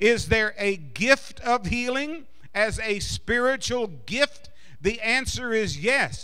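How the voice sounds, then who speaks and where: This man's voice is raised and projected. It carries a bright, sharp tone. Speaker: preacher. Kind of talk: sermon. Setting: church congregation. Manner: fervent, insistent, building to a rousing call-and-response. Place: church. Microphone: handheld.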